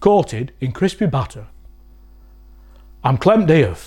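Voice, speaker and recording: With a Lancashire accent, the voice carries vocal fry and swings very widely in pitch. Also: man. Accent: Wigan, Lancashire dialect. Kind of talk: comedic dialect lesson to camera.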